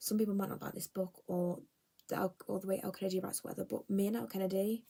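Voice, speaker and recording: With an English accent, a woman talks at a very fast pace, her medium pitch showing ordinary variation. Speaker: book vlogger. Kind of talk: casual chat. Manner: animated.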